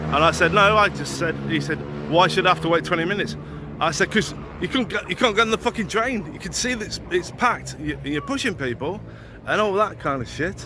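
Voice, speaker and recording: A man speaks at a fairly quick clip. Background noise is noticeable. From England. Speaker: YouTuber. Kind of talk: vlog monologue. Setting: outdoors and on a train, walking. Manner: casual, sweary.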